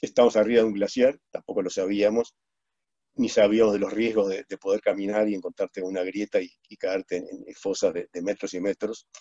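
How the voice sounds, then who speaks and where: Man's fairly low, dark, mellow voice, fairly quick and monotone with flat intonation, over a quiet background. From Uruguay. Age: 70s. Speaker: plane crash survivor and speaker; webinar guest. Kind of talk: testimony. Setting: video call. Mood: reflective, calm. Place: home room. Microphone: video call.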